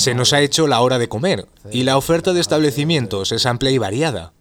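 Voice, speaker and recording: A man talks in a normal speaking voice at a moderate pace, with ordinary pitch variation. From Spain, Madrid. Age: 30s. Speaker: travel podcast host. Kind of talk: scripted narration.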